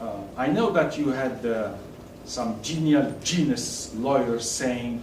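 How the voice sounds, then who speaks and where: A man with a non-native accent talks at a very slow pace with a medium pitch and ordinary pitch variation, amid noticeable background noise and audible room echo. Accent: non-native, self-described as awful. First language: French. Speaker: tax consultant. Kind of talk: lecture. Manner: halting.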